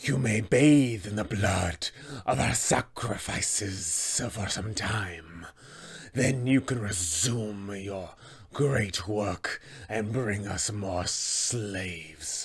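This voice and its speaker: A very slow, fairly low-pitched put-on character voice from a man. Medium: tutorial demo. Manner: menacing, commanding.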